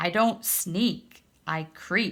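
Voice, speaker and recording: This is a put-on character voice that sounds female, pitched in the middle. It hisses as it speaks. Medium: read story.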